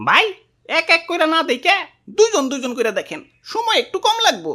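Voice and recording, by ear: A cartoonish character voice rings out at an extremely high pitch. It moves at a fairly quick pace.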